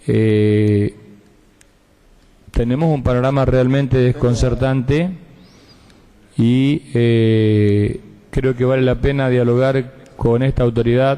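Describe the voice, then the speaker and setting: Using a dark, mellow tone, a man speaks very slowly with long, frequent pauses, fairly even intonation and very even loudness. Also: medium pitch for a man. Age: 50s. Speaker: provincial senator. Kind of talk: legislative floor speech. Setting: senate chamber session.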